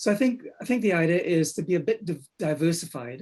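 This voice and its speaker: The voice has a dark, mellow tone and a Trinidadian accent, with ordinary pitch variation. The background is quiet. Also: man. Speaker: copywriter. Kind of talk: roundtable discussion.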